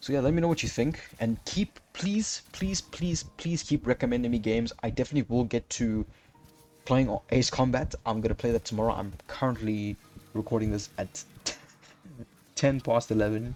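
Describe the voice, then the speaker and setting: A man speaks at a medium pitch and moderate pace with ordinary pitch variation. He takes long, frequent pauses while music plays in the background. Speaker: gaming YouTuber. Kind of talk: casual channel update vlog. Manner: halting, stuttering.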